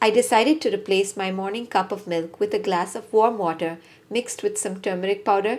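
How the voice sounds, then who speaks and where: A normal speaking voice at a fairly quick pace with ordinary pitch variation, on a very clean recording with a silent background. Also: woman. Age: 40s. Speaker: parenting and lifestyle vlogger. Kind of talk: personal health vlog.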